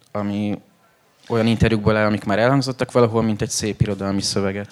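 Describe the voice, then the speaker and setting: Fairly low-pitched, a man speaks very fast in a flat monotone. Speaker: book editor. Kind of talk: panel conversation at book launch. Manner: halting, with repeated words.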